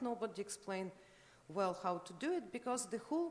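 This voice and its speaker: A woman speaks at a fairly quick pace with a Russian accent. Her fairly high voice makes very wide pitch swings. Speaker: art critic. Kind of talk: conference lecture. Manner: halting, many fillers.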